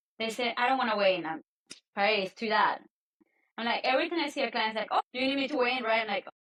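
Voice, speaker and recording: With a Spanish accent, this speaker talks very fast and with lively intonation, leaving long, frequent pauses. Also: woman, fairly high pitch for a woman. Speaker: nutrition and health coach. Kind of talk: podcast interview.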